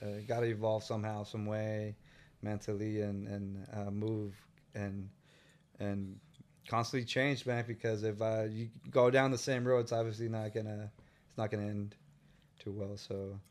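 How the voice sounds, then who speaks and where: The speaker has a Northern California accent and a moderate pace. Delivery is monotone and flat, broken by long, frequent pauses. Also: man, fairly low pitch for a man. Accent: Northern California American. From San Francisco Bay Area (Tenderloin, Richmond). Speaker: muralist and artist. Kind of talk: casual interview. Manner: halting, many fillers and repeats.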